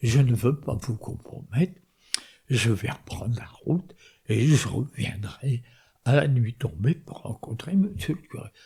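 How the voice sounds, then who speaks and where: A man speaks at a very slow pace in a medium pitch, with a dark, mellow tone and vocal fry. His intonation is lively and his loudness swings widely. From northern France. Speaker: war veteran. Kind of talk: testimony.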